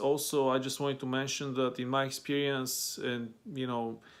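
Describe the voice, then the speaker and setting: Speaking fairly slowly at a medium pitch with a Bulgarian accent, a man comes through on a very clean recording with a silent background. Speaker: language-learning vlogger. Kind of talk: casual talk to camera. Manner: hesitant, many fillers.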